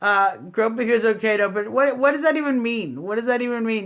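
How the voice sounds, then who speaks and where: Loud and animated, a woman speaks at a high pitch with ordinary pitch variation. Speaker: political livestream host. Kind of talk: political rant. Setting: live stream.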